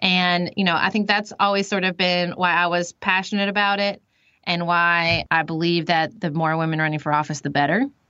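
A woman with a plain, everyday voice speaks at a moderate pace and a fairly low pitch. Her intonation is fairly even and her loudness very even. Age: 30s. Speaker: lawyer and podcast host. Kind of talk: casual chat.

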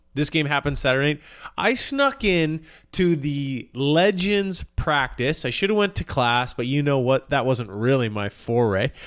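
An ordinary speaking voice with a Canadian accent moves at a fairly slow pace with lively intonation. The recording is very clean, with a silent background. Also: man, fairly high pitch for a man. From Canada. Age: 40s. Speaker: sports podcast co-host. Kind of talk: casual chat.

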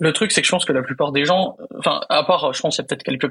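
Speaking very fast, a man uses a fairly high voice and ordinary pitch variation. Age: 20s. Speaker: primary school teacher. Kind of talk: casual chat.

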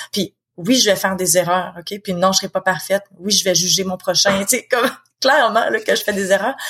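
Medium pitch from a woman, fairly quick pace, ordinary pitch variation. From Quebec. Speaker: author and founder of support association. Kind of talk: interview conversation.

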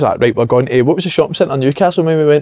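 Speaking with a Glaswegian accent, a man goes at a very fast pace with ordinary pitch variation. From Glasgow, Scotland. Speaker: former footballer, football pundit. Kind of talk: casual chat.

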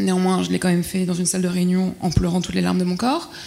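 Here a woman speaks at a fairly quick pace. Her pitch sits in the medium range. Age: 30s. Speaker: corporate employee. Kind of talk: panel discussion. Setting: dinner debate with audience. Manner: halting.

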